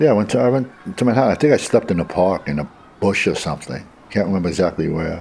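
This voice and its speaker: In a New York accent, a man with a fairly low pitch talks at a very fast pace with very wide pitch swings. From Brooklyn, New York. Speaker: homeless man without photo ID. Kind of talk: interview recollection.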